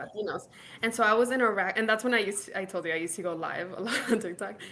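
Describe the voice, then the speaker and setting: A woman with an American accent speaks at a very fast pace with fairly even intonation. Noticeable background noise is present. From Laredo, Texas. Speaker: founder of a professional community. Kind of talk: interview answer. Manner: casual, chatty.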